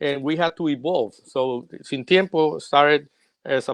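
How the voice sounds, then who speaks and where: A man speaks with a Puerto Rican accent and ordinary pitch variation. The sound is dry and close with no echo, over a quiet background. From Puerto Rico. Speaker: singer-songwriter. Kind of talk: interview.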